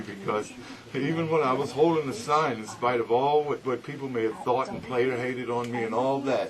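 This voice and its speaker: The voice is a normal speaking voice with ordinary pitch variation. It moves at a moderate pace. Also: man, medium pitch for a man. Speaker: radio announcer. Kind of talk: interview answer.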